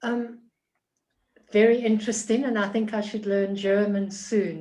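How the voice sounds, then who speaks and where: In a South African accent, a woman talks at a fairly slow pace with a fairly high pitch and a dark, mellow tone. Her intonation is monotone and flat, and audible room echo surrounds her. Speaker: participant. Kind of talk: group discussion. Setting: video call.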